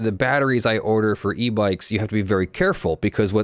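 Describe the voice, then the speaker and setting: In a normal speaking voice, a man talks with a fairly low pitch and ordinary pitch variation. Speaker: live stream host. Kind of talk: commentary. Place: home room. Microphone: earbuds.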